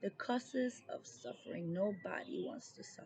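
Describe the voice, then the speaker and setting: A woman's fairly high voice comes across somewhat breathy with a dark, mellow tone. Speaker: tarot reader. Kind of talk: tarot reading.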